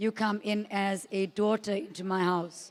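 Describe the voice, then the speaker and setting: This woman speaks at a medium pitch with monotone, flat intonation. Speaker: parent of the groom giving a wedding speech. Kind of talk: wedding speech.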